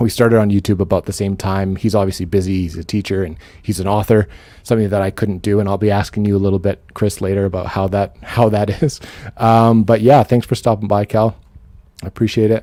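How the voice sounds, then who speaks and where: A man with a Canadian accent speaks at a very fast pace in a fairly low, dark, mellow tone with fairly even intonation. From western Canada. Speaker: book YouTuber hosting a livestream chat. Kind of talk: casual chat. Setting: livestream video call.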